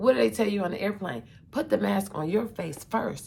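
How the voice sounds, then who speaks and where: With vocal fry, a woman speaks at a medium pitch, her voice swinging very widely up and down. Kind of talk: casual monologue to camera. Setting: hotel room. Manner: halting, with fillers.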